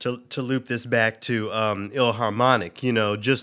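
In a very clean recording with a silent background, a man with an American accent talks at a medium pitch. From US South, Memphis, Tennessee. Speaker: classical radio host and musician. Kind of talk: casual interview conversation. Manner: halting, many fillers.

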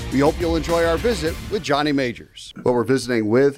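A man with an ordinary speaking voice talks at a moderate pace with lively intonation. The recording is very clean, with a silent background. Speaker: athletics podcast host. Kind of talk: interview.

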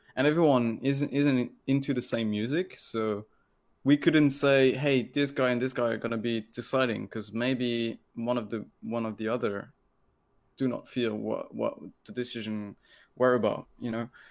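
A man's medium-pitched voice with a French accent and fairly even intonation, on a very clean recording with a silent background. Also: moderate pace. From France. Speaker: electronic music producer. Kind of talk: casual interview. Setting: live video stream.

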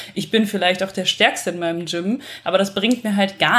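A woman talks at a moderate pace and a medium pitch in an unremarkable speaking voice. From western Germany. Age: 20s. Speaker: bodybuilder and architect. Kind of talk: casual chat.

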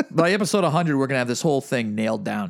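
A man with a plain, everyday voice, medium pitch, lively intonation and an American accent, on a very clean recording with a silent background. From Massachusetts. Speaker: podcast co-host. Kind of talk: casual chat.

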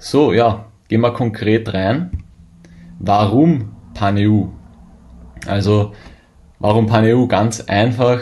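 A man talks at a very slow pace, with long, frequent pauses and ordinary pitch variation. His voice is somewhat breathy and fairly low, with a dark, mellow tone. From Austria. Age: 20s. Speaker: e-commerce seller and account manager. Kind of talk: conference presentation.

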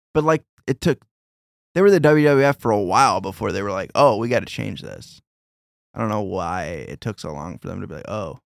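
A man with a fairly low pitch, vocal fry and very wide pitch swings speaks fairly quickly in a very clean recording with a silent background and a dry, close sound with no echo. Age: 30s. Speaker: podcast host. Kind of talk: casual chat.

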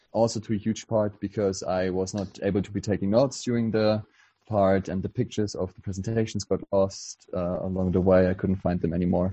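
The speaker has a German accent, monotone, flat intonation and a fairly quick pace. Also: man, fairly low pitch for a man. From Germany. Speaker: political activist. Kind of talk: casual chat. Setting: video call.

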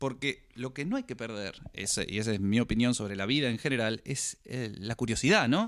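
In a very clean recording with a silent background, a plain, everyday voice speaks with ordinary pitch variation. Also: man. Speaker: podcast co-host. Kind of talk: casual chat.

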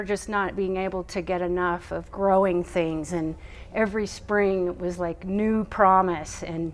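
A woman speaks at a medium pitch and a fairly slow pace, with hardly any pauses. Room echo is audible. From Texas. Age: 50s. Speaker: farmer and educator. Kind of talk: personal story. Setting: at a conference. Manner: halting, many fillers.

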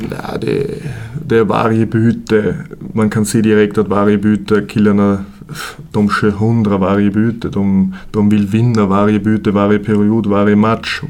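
With an Austrian accent, a man speaks fairly slowly in a fairly low pitch and a monotone, flat intonation. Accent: Austrian German accent in Swedish. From Austria, Vienna. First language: German (speaking Swedish). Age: 30s. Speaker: junior ice hockey coach. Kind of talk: casual interview. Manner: halting, many fillers.

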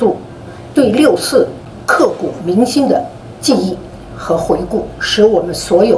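A woman's voice with very wide pitch swings and a very slow pace, amid audible room echo and noticeable background noise. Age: old. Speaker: foundation board member. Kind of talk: closing remarks.

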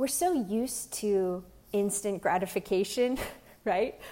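Her voice has a dark, mellow tone at a medium pitch. The woman speaks with an American accent at a moderate pace. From Pennsylvania. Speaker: lay preacher. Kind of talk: gospel reflection.

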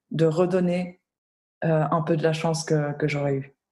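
A woman's fairly low, dark and mellow voice with monotone, flat intonation. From Switzerland. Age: 20s. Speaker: humanitarian worker. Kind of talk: interview. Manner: halting.

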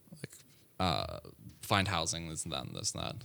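In a very clean recording with a silent background, a man with an American accent speaks at a moderate pace with vocal fry. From US South, Atlanta, Georgia. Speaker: computer science student. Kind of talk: casual interview.

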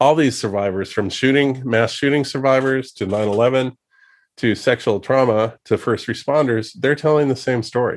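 On a very clean recording with a silent background, a medium-pitched man talks at a moderate pace with fairly even intonation. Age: 50s. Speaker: documentary filmmaker. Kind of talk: interview. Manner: halting.

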